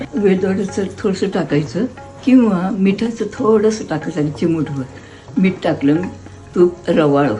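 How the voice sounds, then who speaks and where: A woman's lively intonation over music in the background. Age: 80s+. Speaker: home cook. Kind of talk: cooking explanation to camera.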